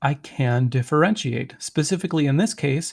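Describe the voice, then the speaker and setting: Fairly high in pitch and somewhat breathy, a man talks at a fairly quick pace with ordinary pitch variation on a very clean recording with a silent background. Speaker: math teacher. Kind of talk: recorded video lecture.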